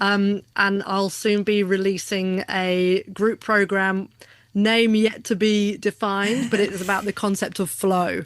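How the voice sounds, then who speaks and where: A woman with an English accent at medium pitch, fairly slow and monotone with flat intonation, in a very clean recording with a silent background. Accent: English, still pretty pure. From southern England, Hampshire (Aldershot, Odiham). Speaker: business coach and keynote speaker. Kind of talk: casual interview chat.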